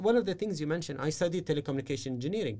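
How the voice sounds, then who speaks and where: The speaker has an Arabic accent and a dark, mellow tone with lively intonation. The recording is very clean, with a silent background. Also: man. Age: 30s. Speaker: business strategist and mentor. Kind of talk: interview. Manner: halting.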